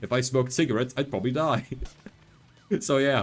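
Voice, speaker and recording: A man talking at a fairly quick clip, ordinary pitch variation, music playing behind him. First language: not English. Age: 20s. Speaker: vtuber streamer. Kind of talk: casual gaming livestream chat. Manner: animated.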